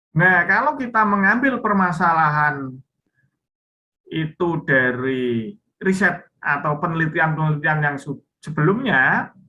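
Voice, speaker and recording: A man's bright, sharp voice sits at a fairly high pitch, moving at a fairly slow pace with lively intonation. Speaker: university lecturer. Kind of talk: online lecture. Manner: lilting, drawn-out.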